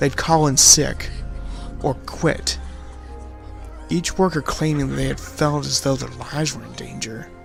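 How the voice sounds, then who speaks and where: Music plays in the background as a man speaks at a fairly slow pace with long, frequent pauses. His loudness swings widely. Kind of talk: horror story narration.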